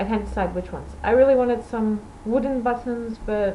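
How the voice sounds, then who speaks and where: A woman is speaking. Audible room echo is present. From Portugal. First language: Portuguese or Dutch. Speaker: knitting podcaster. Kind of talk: casual video podcast chat.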